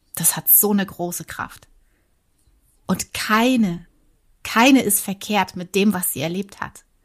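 A woman speaks at a very slow pace and medium pitch, leaving long, frequent pauses. Her voice is somewhat breathy, with ordinary pitch variation. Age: 40s. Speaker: former airline pilot and yoga teacher. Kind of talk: casual interview chat. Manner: halting, with repetitions.

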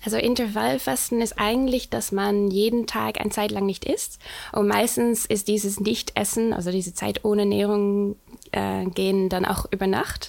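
At a moderate pace, a woman speaks with very even loudness, a medium pitch and ordinary pitch variation. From Netherlands. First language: Dutch (speaking German). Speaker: nutrition and hormone coach. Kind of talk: interview. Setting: studio. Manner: halting.

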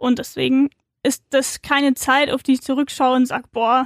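Recorded with a dry, close sound and no echo, a woman speaks at a moderate pace with a high pitch and monotone, flat intonation. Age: 20s. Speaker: author. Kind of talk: casual chat.

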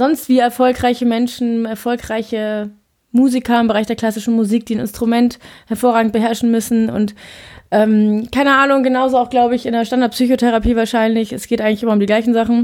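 A woman speaks at a fairly quick pace with a fairly high pitch. The recording is very clean, the background silent. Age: 20s. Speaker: podcaster, law trainee. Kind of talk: solo monologue. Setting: home office. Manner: fast; animated.

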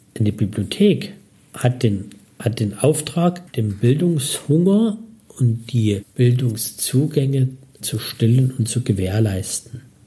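A dark, mellow, somewhat breathy tone with lively intonation at a very slow pace. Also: man, medium pitch for a man. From Dresden, Saxony, eastern Germany. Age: 50s. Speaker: city archive director. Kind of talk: interview.

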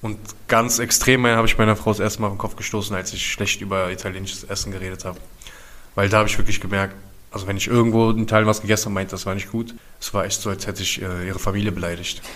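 Over noticeable background noise, a man talks at a very fast pace with a fairly low pitch and monotone, flat intonation. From Berlin, Germany (Wedding, then East Berlin). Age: 30s. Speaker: prevention project worker. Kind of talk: casual chat.

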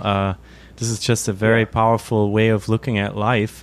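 A man of medium pitch with a German accent. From Germany. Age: 30s. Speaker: podcast host and journalist. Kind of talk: interview. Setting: video call.

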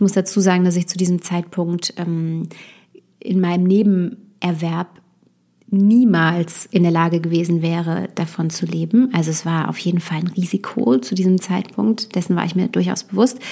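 Her tone is dark and mellow. The woman's pitch shifts in an ordinary way. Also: fairly low pitch for a woman, moderate pace. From Westerwald, Germany. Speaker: copywriter and podcast host. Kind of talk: solo podcast monologue. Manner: frequent filler sounds (äh, ähm).

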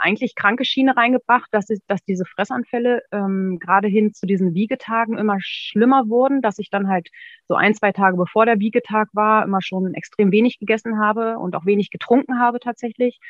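A woman with fairly even intonation and hardly any pauses. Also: fairly quick pace. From northern Germany, near Braunschweig. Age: 30s. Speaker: former coaching client, secretary. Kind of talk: interview testimony. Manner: hesitant, many fillers.

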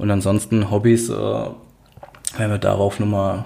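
Through noticeable background noise, a man speaks at a fairly low pitch with monotone, flat intonation. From Worms, Rhineland-Palatinate, Germany. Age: 30s. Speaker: podcast host. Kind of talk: casual chat.

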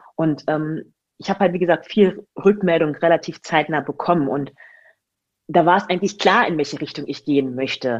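A woman talks with lively intonation against a quiet background. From Germany, Magdeburg. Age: 20s. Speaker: online fitness coach. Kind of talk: casual interview chat. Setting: sitting across from host, sun shining in.

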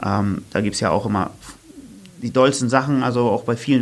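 This man has a plain, everyday voice at a medium pitch with fairly even intonation. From northern Germany, Oldenburg. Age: 30s. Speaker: running coach and fitness trainer. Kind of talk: casual interview chat. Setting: studio.

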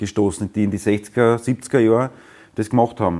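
A man's fairly low, dark and mellow voice, with fairly even intonation and a moderate pace. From Austria, Weinviertel (Lower Austria). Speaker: musician. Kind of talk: interview.

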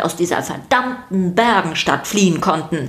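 A woman's fairly bright voice with lively intonation

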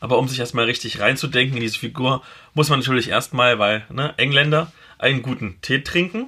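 Here is a man with a medium pitch and a bright, sharp tone. He moves at a fairly quick pace with ordinary pitch variation. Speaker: podcast host and blogger. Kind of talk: casual chat.

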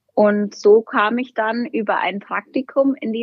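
A woman's plain, everyday voice, fairly high in pitch, with ordinary pitch variation. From Berchtesgaden, Upper Bavaria. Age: 20s. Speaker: bank marketing employee. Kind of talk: casual interview.

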